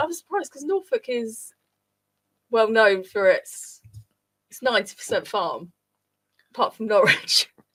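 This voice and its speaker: A southern English accent at a moderate pace, with long, frequent pauses, very wide pitch swings and big swings in loudness. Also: woman. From Luton area, Bedfordshire, England. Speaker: community radio host. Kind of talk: casual chat.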